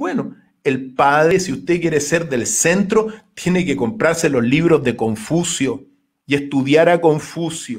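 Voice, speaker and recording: A man with a high pitch talks at a fairly slow pace against a quiet background. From Chile. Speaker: philosophy lecturer and political hopeful; philosophy lecturer. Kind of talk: radio interview. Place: home room. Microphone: webcam.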